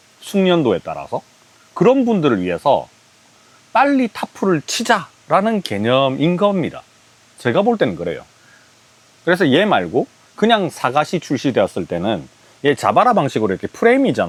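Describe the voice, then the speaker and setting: At a moderate pace, a man speaks with long, frequent pauses in a dry, close recording with no echo. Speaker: camping gear reviewer. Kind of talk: product review.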